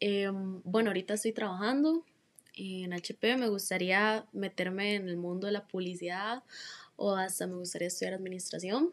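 On a very clean recording with a silent background, a woman with an unremarkable speaking voice uses a medium pitch and ordinary pitch variation at a moderate pace. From Costa Rica, Heredia. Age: young. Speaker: interviewee. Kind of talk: interview.

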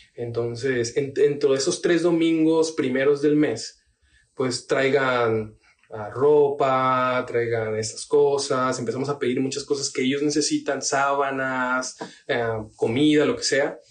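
At a very slow pace, the speaker keeps the intonation fairly even. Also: man, fairly high pitch for a man. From Tabasco, Mexico. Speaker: pastor. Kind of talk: casual chat.

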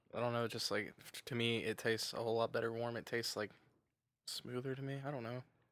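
Talking at a very fast pace, a man with an American accent keeps his intonation monotone and flat. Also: medium pitch for a man. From Kentucky, US South (McCreary County). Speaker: podcast guest. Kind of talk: casual chat.

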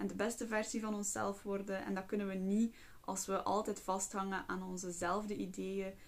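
A woman's medium-pitched, monotone, flat delivery at a moderate pace, with noticeable background noise. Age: 20s. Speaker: psychologist and podcast host. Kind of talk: casual monologue.

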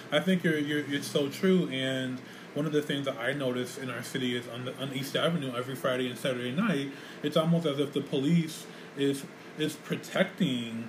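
A man with an American accent and fairly high pitch talks at a fairly quick pace over noticeable background noise. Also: fairly even intonation. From Rochester, New York. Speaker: podcast host and community center director. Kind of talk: casual chat. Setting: community center studio.

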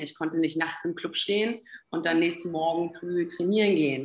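In a plain, everyday voice, a woman speaks at a moderate pace and a fairly low pitch. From Berlin, Germany. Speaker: health and performance coach. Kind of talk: podcast interview.

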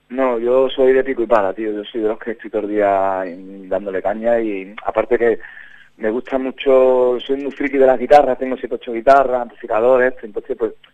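Speaking with a slight Andalusian accent, a man keeps a monotone, flat intonation at a medium pitch and moderate pace. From Huelva, Spain. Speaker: band leader musician. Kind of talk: radio interview. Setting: phone call.

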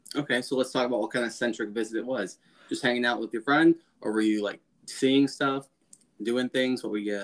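Man's plain, everyday voice, medium pitch, fairly even intonation, fairly quick pace, with an American accent. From US. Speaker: podcast co-host. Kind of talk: casual chat.

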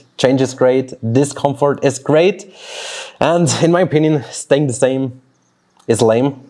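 A man with a Swiss German accent speaks at a very slow pace and a fairly high pitch. His tone is dark and mellow, with fairly even intonation. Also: long, frequent pauses. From Switzerland (German-speaking). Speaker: fitness coach and podcast host. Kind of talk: solo motivational podcast monologue. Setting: outdoors in a backyard, birds and dogs audible.

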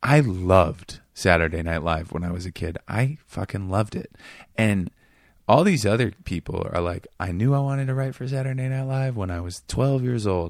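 Against a silent background in a very clean recording, a man with an American accent uses a normal speaking voice, fairly low in pitch, at a moderate pace with lively intonation. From Seattle, US Pacific Northwest. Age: 30s. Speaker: comedian and writer. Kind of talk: casual chat. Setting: studio.

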